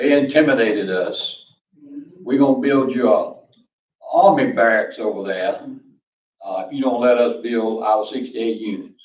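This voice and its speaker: A man in a North Carolina accent speaks at a fairly slow pace with long, frequent pauses, his voice carrying audible room echo. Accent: North Carolina Southern. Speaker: public commenter. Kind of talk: public comment at town meeting. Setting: town council meeting. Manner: loud.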